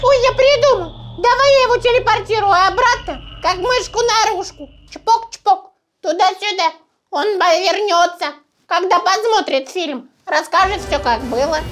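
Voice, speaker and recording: An extremely high-pitched, put-on character voice. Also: moderate pace. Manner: playful, commanding.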